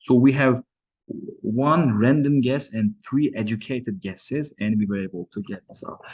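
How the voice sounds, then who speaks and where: A man with a non-native accent and a medium pitch at a moderate pace, with ordinary pitch variation and big swings in loudness. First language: not English. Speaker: coding tutorial creator. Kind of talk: tutorial. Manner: halting.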